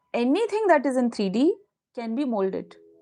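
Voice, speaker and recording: A woman talks with an Indian accent. Her pitch is high. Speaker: manifestation coach. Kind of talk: live stream talk with chat. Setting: live stream. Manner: animated.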